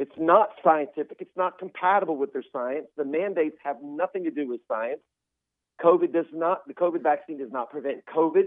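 A man speaks in a normal speaking voice with a fairly high pitch. His pitch variation is ordinary and his pace moderate. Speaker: physician. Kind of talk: interview.

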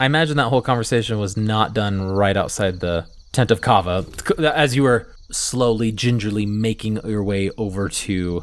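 Here a man has an ordinary speaking voice, pitched fairly low with ordinary pitch variation. His pace is moderate. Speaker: dungeon master / game host. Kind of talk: tabletop roleplaying actual play, narration and banter.

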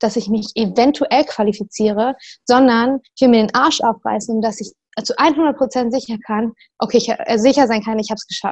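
Speaking at a fairly quick pace over a quiet background, a woman uses a high pitch. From northern Germany, Lower Saxony near Hamburg. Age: 20s. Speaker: CrossFit athlete. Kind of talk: casual chat.

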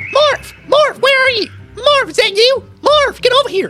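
An extremely high-pitched put-on character voice at a moderate pace. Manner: calling out, questioning.

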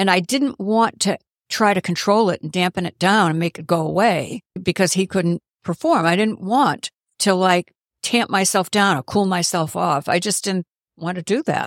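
On a very clean recording with a silent background, a normal speaking voice moves at a moderate pace with ordinary pitch variation, the sound dry and close with no echo. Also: woman, medium pitch for a woman. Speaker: podcast guest, half of a couple. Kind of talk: casual interview chat.

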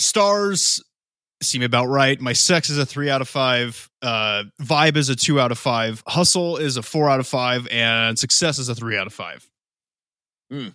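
An ordinary speaking voice from a man with an American accent, medium in pitch, fairly slow, with ordinary pitch variation. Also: very clean recording, silent background. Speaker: podcast co-host. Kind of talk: casual chat.

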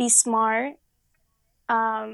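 The speaker is a woman. Her voice comes across dry and close, with no echo. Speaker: restaurant server. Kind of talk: casual chat.

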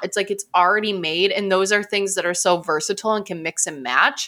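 This voice has a bright, sharp tone and an American accent at a fairly quick pace. The recording is very clean, with a silent background. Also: woman. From US Midwest. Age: 20s. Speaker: registered nurse and health coach. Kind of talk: casual chat.

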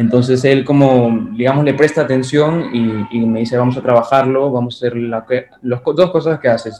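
Against noticeable background noise, the speaking pace is fairly slow and the pitch varies in an ordinary way. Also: man. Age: young. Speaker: film critic and filmmaker. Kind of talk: interview.

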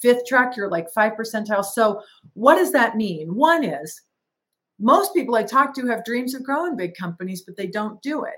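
This woman's fairly high voice swings very widely in pitch and shifts greatly in loudness. Her pace is moderate. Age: 60s. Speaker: franchise company president. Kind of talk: casual chat.

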